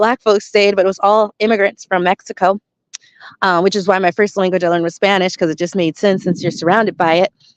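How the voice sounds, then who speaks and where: Speaking very fast with an American accent, a woman at medium pitch keeps her intonation fairly even in a dry, close sound with no echo. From US West, Las Vegas. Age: 40s. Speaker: spiritual commentator. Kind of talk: monologue commentary. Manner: casual, conversational.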